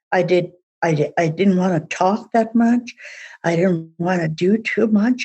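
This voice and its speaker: A woman speaks very slowly, somewhat breathy, with ordinary pitch variation. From Saskatchewan, Canada. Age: old. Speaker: Métis elder. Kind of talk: testimony.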